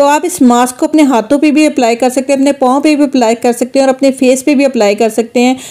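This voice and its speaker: Fairly quick, monotone and flat, a woman's high voice over a quiet background. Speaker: home beauty tips creator. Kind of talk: tutorial. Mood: persuasive, encouraging.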